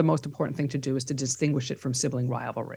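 The background is quiet as a woman speaks in a New York accent. Her pitch variation is ordinary. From New York (Bronx, Long Island). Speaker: psychotherapist and professor. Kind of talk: interview.

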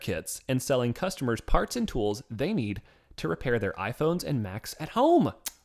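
On a very clean recording with a silent background, a man speaks at a moderate pace with vocal fry and very wide pitch swings. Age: 20s. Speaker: podcast co-host. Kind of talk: casual chat.

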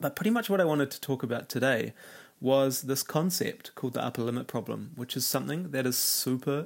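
At a moderate pace, a man speaks at medium pitch with ordinary pitch variation and vocal fry.

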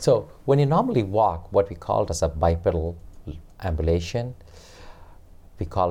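Somewhat breathy and dark, mellow in tone, a man talks at a moderate pace with lively intonation. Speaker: physical therapist. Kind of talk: interview answers. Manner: formal, explanatory.

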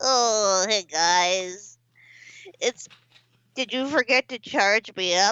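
A put-on character voice, fairly high in pitch, at a very slow pace with long, frequent pauses. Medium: game stream. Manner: deadpan, sardonic.

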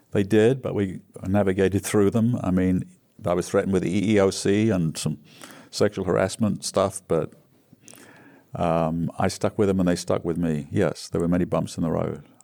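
A man with an English accent talks at a moderate pace in a very deep, low pitch, his dark, mellow tone and fairly even intonation captured on a very clean recording with a silent background. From England. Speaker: recovering alcoholic sharing story. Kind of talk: casual interview storytelling.

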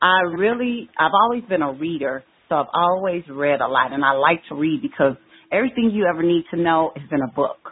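Lively intonation and a fairly quick pace mark an unremarkable speaking voice with an American accent. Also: woman, fairly low pitch for a woman. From Chicago, US Midwest. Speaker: educator and empowerment speaker. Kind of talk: podcast interview.

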